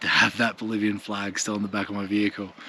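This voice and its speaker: Speaking with an Australian accent, a man moves at a fairly quick pace. His fairly low voice has a bright, sharp tone. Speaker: travel vlogger. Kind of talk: casual vlog narration.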